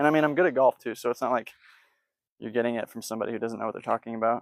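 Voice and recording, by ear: A man talks at a very fast pace at medium pitch, with vocal fry, ordinary pitch variation and a dry, close sound with no echo.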